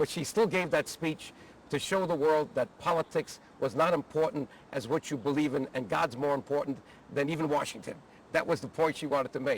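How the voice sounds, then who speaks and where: A man with an ordinary speaking voice, a fairly high pitch and ordinary pitch variation. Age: 60s. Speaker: former congressman, advocacy group leader. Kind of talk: personal reminiscence interview. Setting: outdoors at the Capitol.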